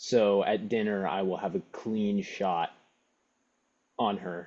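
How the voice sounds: Slow and fairly low-pitched, a man talks with fairly even intonation and a slightly mellow tone.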